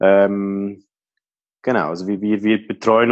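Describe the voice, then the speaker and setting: A man with a Swiss accent, fairly low-pitched and monotone with flat intonation, at a very slow pace. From Switzerland. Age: 30s. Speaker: IT helpdesk worker. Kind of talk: interview. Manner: hesitant, many fillers.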